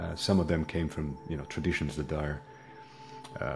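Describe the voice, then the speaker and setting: With audible room echo and noticeable background noise, a man speaks in a very deep, low voice at a fairly quick pace. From Italy. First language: Italian. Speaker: hypnotherapist. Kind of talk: interview. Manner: halting, many fillers and repetitions.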